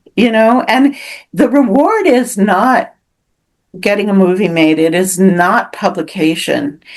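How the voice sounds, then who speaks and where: At a fairly slow pace, a woman with a West Coast accent speaks with lively intonation, a medium pitch and very even loudness. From US Pacific Northwest, Seattle. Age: 70s. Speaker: author. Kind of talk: interview. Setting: podcast interview. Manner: halting.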